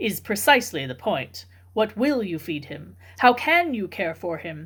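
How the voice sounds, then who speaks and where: A woman puts on a character voice with very wide pitch swings. Her pitch sits in the medium range, and her pace is moderate. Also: very clean recording, silent background. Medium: read story. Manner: stiff.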